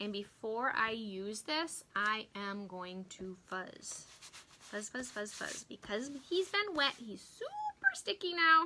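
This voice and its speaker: Squeaky and fairly high-pitched, a woman speaks at a very slow pace with very wide pitch swings and big swings in loudness. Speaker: craft demonstrator and product seller. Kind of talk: live-stream craft tutorial. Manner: animated.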